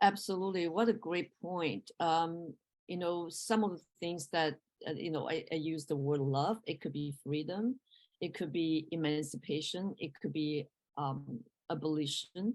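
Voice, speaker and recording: A woman in a Mandarin accent, fairly low in pitch, at a fairly slow pace with ordinary pitch variation. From Taiwan or China. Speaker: professor. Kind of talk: interview. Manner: halting.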